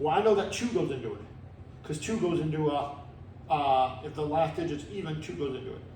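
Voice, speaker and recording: Lively in intonation and fairly high for a man, his voice moves at a fairly quick pace with audible room echo. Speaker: math teacher. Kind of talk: tutorial. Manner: fast.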